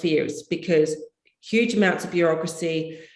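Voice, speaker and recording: A woman speaks at a fairly low pitch. Room echo is audible. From Australia (Perth). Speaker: property consultant. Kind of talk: interview. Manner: animated.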